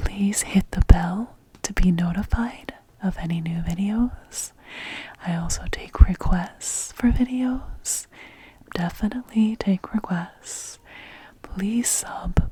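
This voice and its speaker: Whispering very slowly, a soft-spoken woman shifts a lot in loudness over noticeable background noise. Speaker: ASMR creator. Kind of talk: ASMR soft-spoken talk.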